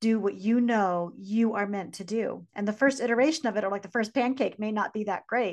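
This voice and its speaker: With a plain, everyday voice, a woman talks at a fairly quick pace over a quiet background, her fairly high pitch showing ordinary pitch variation. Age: 40s. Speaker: podcast co-host, business coach. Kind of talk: casual chat.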